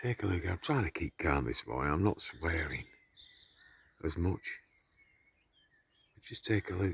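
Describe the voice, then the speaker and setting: Quietly, a man with a very deep, low pitch and vocal fry talks at a fairly slow pace with long, frequent pauses, the sound dry and close with no echo. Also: lively intonation, big swings in loudness. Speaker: conspiracy vlogger. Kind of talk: casual monologue to camera. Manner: quiet, kept low.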